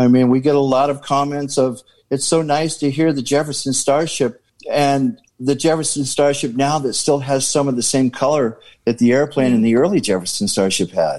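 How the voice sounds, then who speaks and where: With an unremarkable speaking voice, a man talks at a moderate pace in a fairly high pitch, with ordinary pitch variation and very even loudness. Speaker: band drummer. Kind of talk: casual chat. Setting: video call.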